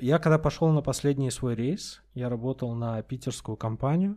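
On a very clean recording with a silent background, a man speaks. His pitch is medium and his intonation lively. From Russia, Astrakhan. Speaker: stand-up comedian. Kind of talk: casual chat.

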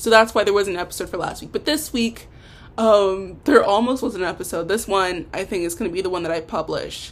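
A woman speaks in a plain, everyday voice at a medium pitch. Her pace is fairly quick. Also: ordinary pitch variation. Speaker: podcaster and amateur songwriter. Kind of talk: casual solo podcast monologue. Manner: rambling, informal, self-deprecating.

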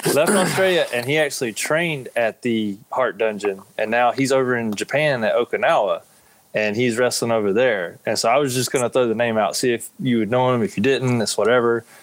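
Using a normal speaking voice, a man talks at a fairly quick pace in a medium pitch. His loudness stays very even, and his pitch varies in an ordinary way. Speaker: pro wrestler. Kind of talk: casual chat. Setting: remote video call.

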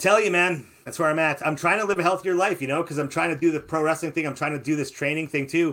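Talking very fast with hardly any pauses, a man keeps an animated tone. His pitch sits fairly high. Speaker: radio show host. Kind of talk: casual chat. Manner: animated, jokey.

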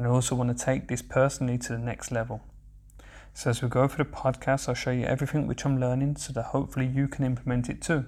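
Speaking at a very fast pace, a man keeps a monotone. His intonation stays flat throughout. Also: medium pitch for a man. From England, Birmingham. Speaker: aspiring life coach. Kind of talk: podcast monologue. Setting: solo raw recording. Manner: carefully moderating his accent.

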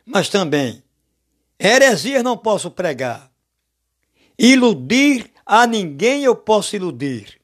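A man speaks at a very slow pace in a high voice, his pitch swinging very widely, with long, frequent pauses, on a very clean recording with a silent background. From Brazil, Alagoas (Maceió). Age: 60s. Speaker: lay preacher. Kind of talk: sermon.

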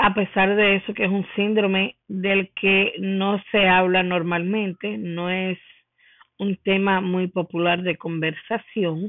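The woman's pitch is in the middle range. She talks very slowly, and her intonation stays monotone and flat. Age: 30s. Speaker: podcaster. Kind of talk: solo podcast monologue.

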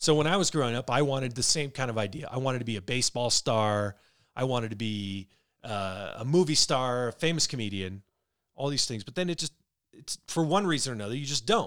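A man talks at a fairly quick pace in an unremarkable speaking voice. His medium pitch carries lively intonation. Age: 40s. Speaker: podcast co-host. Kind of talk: casual chat.

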